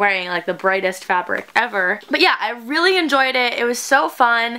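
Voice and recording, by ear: In a bright, sharp tone, a woman with a fairly high voice speaks fairly quickly with lively intonation.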